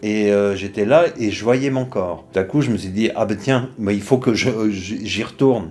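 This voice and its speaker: This man speaks at a fairly slow pace with hardly any pauses, using a fairly low pitch and ordinary pitch variation. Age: 60s. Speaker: retiree who practises trance and accompanies people. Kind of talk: interview testimony. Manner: hesitant, many fillers.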